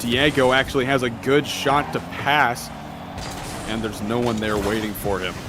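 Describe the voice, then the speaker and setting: Music can be heard behind the speaker. He is a man with a medium-pitched voice. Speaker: esports caster. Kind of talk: live commentary.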